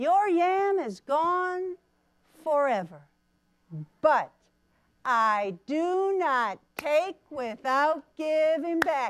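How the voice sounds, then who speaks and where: A woman uses a put-on character voice at high pitch. She speaks at a very slow pace. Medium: read story.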